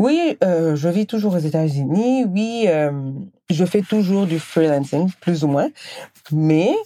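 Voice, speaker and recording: A woman with a plain, everyday voice speaks fairly slowly at a fairly low pitch, her intonation lively. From Senegal. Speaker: podcast host. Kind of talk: personal monologue.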